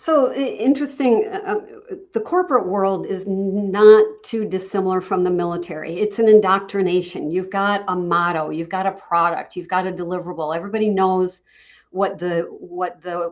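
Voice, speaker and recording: This woman has an unremarkable speaking voice, pitched in the medium range and delivered at a moderate pace. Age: 60s. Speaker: franchise consultant. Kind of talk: interview.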